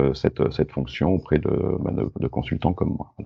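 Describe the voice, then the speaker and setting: This man's pitch is very deep and low, edged with vocal fry. He speaks at a fairly slow pace. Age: 50s. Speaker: entrepreneur and data protection consultant. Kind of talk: interview.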